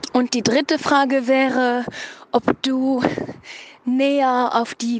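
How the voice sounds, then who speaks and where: A woman speaks at a very slow pace. The sound is dry and close with no echo, and there is noticeable background noise. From Luxembourg. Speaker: listener sending in a question. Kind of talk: recorded voice message.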